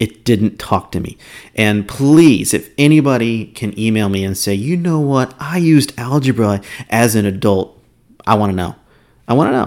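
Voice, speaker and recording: A man's medium-pitched, plain, everyday voice with lively intonation at a moderate pace. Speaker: doctor podcast host. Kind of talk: solo monologue podcast talk. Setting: office. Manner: casual, rambling, chatty.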